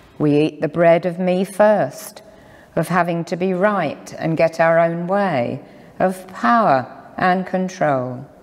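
Music plays behind a woman who speaks very slowly with a fairly low pitch. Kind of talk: sermon. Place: church. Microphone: lapel.

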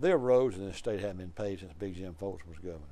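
This man speaks with an Alabama accent. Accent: Southern US (Alabama). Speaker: political talk show host. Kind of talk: interview. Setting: studio. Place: studio.

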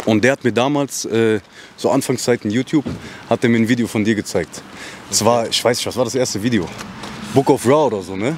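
With a medium pitch and ordinary pitch variation, a man talks at a very fast pace broken by long, frequent pauses, in a dry sound with no echo and light background noise. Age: 20s. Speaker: interviewer. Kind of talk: casual interview. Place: street. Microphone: handheld.

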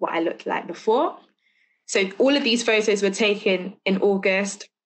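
A woman speaks in a London accent at a moderate pace. The background is quiet. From London, England. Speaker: teacher and lecture speaker. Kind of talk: lecture. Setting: video call. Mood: personal, earnest, somewhat somber. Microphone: video call.

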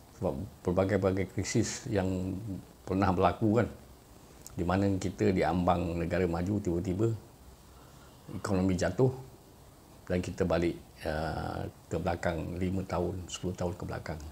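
A man's very deep, low, dark and mellow voice, somewhat breathy, at a fairly slow pace with fairly even intonation, long and frequent pauses, and light background noise. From Malaysia. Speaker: YouTuber. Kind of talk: monologue commentary. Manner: hesitant, frequent uh fillers. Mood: calm, reflective. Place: home room. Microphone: phone near.

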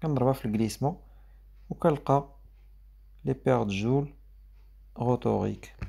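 A man with a Moroccan accent speaks at a moderate pace, pausing long and often. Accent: Moroccan Arabic with French code-switching. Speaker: teacher. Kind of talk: lecture.

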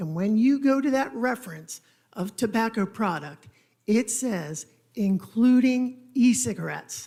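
Fairly high-pitched yet dark and mellow in tone, a woman's somewhat breathy voice carries lively intonation at a fairly slow pace. The recording is very clean, with a silent background. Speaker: attorney for an applicant. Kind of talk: legal argument at a council hearing. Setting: council chamber. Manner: quiet.

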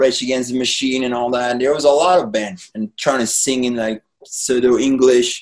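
Against a quiet background, a man talks with a French accent. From France. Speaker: painter and former rock musician. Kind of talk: casual chat. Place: home room. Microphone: webcam.

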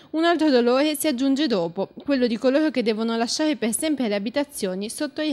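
High-pitched, a woman speaks at a fairly quick pace. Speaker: news narrator. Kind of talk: newsreel-style scripted narration, solemn and mournful. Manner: formal; grave, measured, dramatic.

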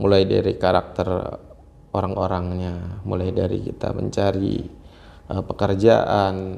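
A man talks at a fairly slow pace in a normal speaking voice, his pitch fairly low, with light background noise. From Banten, Indonesia. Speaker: businessman and local political candidate; interview guest, young contractor. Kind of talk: interview. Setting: workshop. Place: home room. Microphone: lapel.

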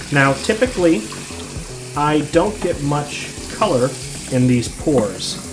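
The speech moves at a very slow pace while clear music plays in the background. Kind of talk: tutorial. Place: bathroom.

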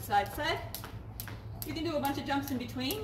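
A woman speaks over noticeable background noise. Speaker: fitness instructor. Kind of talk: tutorial. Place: garden. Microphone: camera far.

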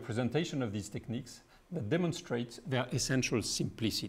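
This man talks with a French accent. His intonation is lively. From France. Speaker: physicist. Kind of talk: lecture. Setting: stage with audience. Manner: halting. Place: hall. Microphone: podium.

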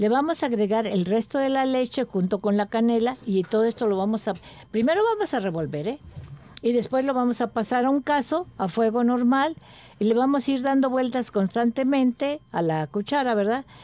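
A woman with high pitch and a dark, mellow tone speaks at a moderate pace with lively intonation and very even loudness, in dry sound with no echo. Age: 80s+. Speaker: gourmet association member and home cook; radio food show host. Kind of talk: casual chat; recipe demonstration. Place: studio.

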